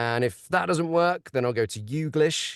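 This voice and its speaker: A man with an Estuary accent speaks at a moderate pace with lively intonation, in a dry, close sound with no echo and a quiet background. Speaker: audiobook narrator. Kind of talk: webinar discussion. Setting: video call.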